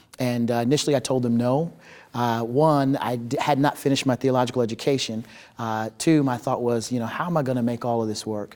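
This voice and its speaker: A normal speaking voice with an American accent, at a fairly quick pace. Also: man, medium pitch for a man, fairly even intonation. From upstate New York, Utica, then Oklahoma. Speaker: ministry director and former pastor. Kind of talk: interview conversation.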